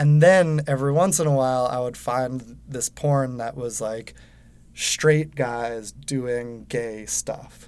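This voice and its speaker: A man with an unremarkable speaking voice, medium pitch, fairly even intonation, and fairly slow pace. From Westchester, New York. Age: 30s. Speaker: podcast host and TV writer. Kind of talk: casual conversation. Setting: recording studio booth.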